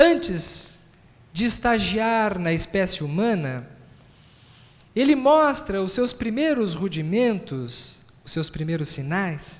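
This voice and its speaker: With a southern Brazilian accent, a man speaks very slowly in a high pitch with very wide pitch swings and long, frequent pauses, and audible room echo surrounds him. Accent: gaúcho Brazilian Portuguese. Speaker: physician and spiritist lecturer. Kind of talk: lecture.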